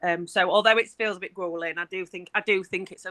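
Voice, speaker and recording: A woman talks at a very fast pace with a medium pitch and a bright, sharp tone. The sound is dry and close, with no echo. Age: 40s. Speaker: council care leavers caseworker. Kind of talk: interview. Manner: casual, chatty.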